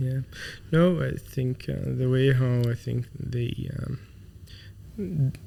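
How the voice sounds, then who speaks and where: A man's very slow, somewhat breathy speech at medium pitch, dark and mellow in tone, with ordinary pitch variation and long, frequent pauses. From Saudi Arabia (Khafji, Eastern Province). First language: Arabic. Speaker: tech company founder and CEO. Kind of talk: interview. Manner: halting, many fillers.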